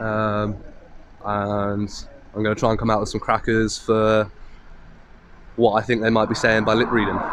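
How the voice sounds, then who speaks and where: Noticeable background noise sits behind a man's voice. He speaks at medium pitch and a moderate pace. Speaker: auditor filming police. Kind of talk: vlog narration to camera. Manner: loud.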